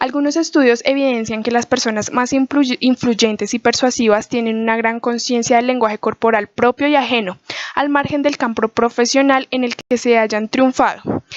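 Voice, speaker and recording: A high-pitched woman talks with hardly any pauses, in a dry, close sound with no echo. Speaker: student. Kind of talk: class presentation. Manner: fast; soft-spoken.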